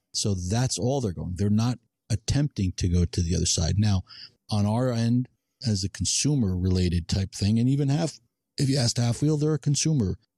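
Somewhat breathy and lively in intonation, a man talks over a dry, close sound with no echo. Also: very clean recording, silent background. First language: not English. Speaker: cigar podcast co-host. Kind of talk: casual chat.

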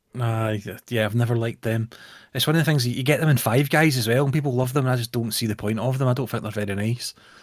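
On a very clean recording with a silent background, a man with a Scottish accent talks at a very fast pace with medium pitch and fairly even intonation. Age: 30s. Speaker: podcast co-host. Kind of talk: casual chat.

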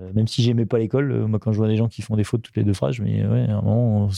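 The voice has a dark, mellow tone and fairly even intonation, heard in a dry, close sound with no echo over a quiet background. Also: man. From France, Rhône-Alpes region. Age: 40s. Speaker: ultra-endurance athlete and business owner. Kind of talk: interview. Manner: halting.

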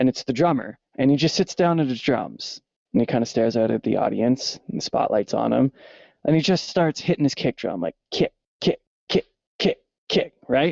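A man with a Canadian accent speaks at a moderate pace. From Canada. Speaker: musician and sound engineer. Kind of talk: casual chat.

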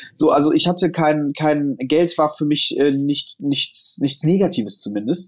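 A man with a fairly high pitch speaks in a plain, everyday voice. He leaves hardly any pauses. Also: very even loudness. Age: 30s. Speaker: founder and investor. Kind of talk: casual interview.

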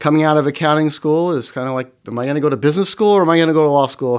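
In a very clean recording with a silent background, a man with an American accent speaks in a plain, everyday voice, fairly high in pitch with ordinary pitch variation. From Oklahoma, Norman. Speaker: company CEO, former attorney. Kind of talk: interview.

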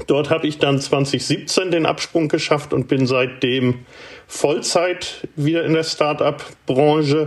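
Over noticeable background noise, a man with a fairly high pitch talks at a very slow pace, his intonation fairly even and his loudness very even. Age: 50s. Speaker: startup incubator director and author. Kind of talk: interview.

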